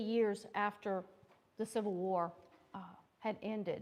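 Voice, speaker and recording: Pitched fairly high, a woman speaks at a very slow pace. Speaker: historian, invited speaker. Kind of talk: lecture. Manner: loud.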